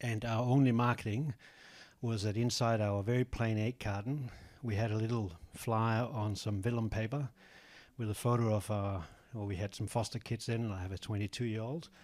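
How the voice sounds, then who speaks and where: In a very clean recording with a silent background, a man speaks at a medium pitch and a moderate pace with fairly even intonation. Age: 60s. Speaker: egg farmer. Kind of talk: audience comment at panel. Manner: halting.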